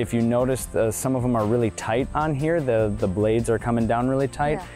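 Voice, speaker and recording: Faint music plays behind a man who talks at a fairly quick pace with ordinary pitch variation, the sound dry with no echo. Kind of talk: interview answer.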